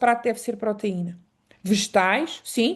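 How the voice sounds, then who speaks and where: In a European Portuguese accent, a woman speaks at a moderate pace with ordinary pitch variation over a quiet background. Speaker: Traditional Chinese Medicine specialist. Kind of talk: online lecture.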